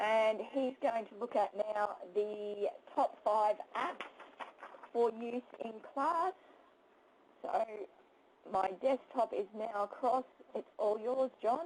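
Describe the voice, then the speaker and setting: A woman with an Australian accent, fairly high in pitch, very slow, with lively intonation, long, frequent pauses and big swings in loudness. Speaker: teacher. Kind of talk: webinar presentation. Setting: webinar, screen sharing.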